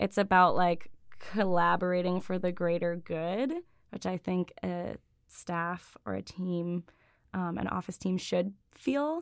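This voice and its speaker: Recorded very cleanly against a silent background, a woman with an American accent and an unremarkable speaking voice talks at a fairly slow pace, her pitch fairly low with ordinary variation. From western New York (Buffalo suburbs). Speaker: career coach. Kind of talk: interview conversation.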